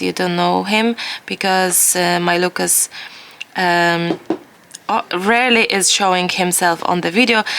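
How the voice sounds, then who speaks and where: There is noticeable background noise as a woman talks at a moderate pace. She has a medium pitch and a non-native accent. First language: not English. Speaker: watercolor art teacher. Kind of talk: tutorial; casual chat. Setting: home studio. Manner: halting.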